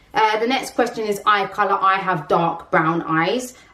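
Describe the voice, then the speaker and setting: Someone with a London accent talks at a fairly slow pace against noticeable background noise. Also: woman. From London, England. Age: 30s. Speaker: vlogger. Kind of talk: casual vlog talk.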